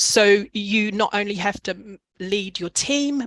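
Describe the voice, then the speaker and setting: A woman with a New Zealand accent speaks at a medium pitch with ordinary pitch variation. The sound is dry and close with no echo. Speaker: executive coach. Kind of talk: webinar presentation.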